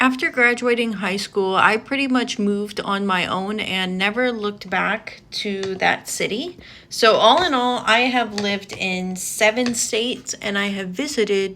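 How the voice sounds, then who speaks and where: A woman in a plain, everyday voice speaks fairly slowly at a medium pitch with an American accent. Her pitch variation is ordinary. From US South (Georgia). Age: 20s. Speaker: beauty vlogger. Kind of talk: casual get-ready-with-me vlog.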